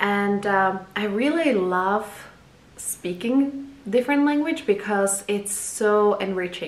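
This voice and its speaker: A woman with a Czech accent at a very slow pace, with ordinary pitch variation, noticeable background noise and audible room echo. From Czech Republic. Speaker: photographer and video blogger. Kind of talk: casual personal introduction vlog. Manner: halting, many fillers.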